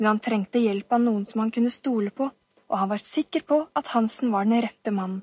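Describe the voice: Quiet background behind plain reading aloud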